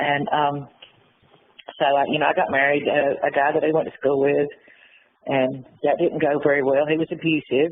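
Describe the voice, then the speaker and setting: With an Appalachian accent, a woman speaks in a very deep, low, monotone voice at a very even loudness, leaving long, frequent pauses. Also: moderate pace. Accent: Appalachian Southern US. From US South, western North Carolina. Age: 60s. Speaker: former prisoner. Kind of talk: interview. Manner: halting.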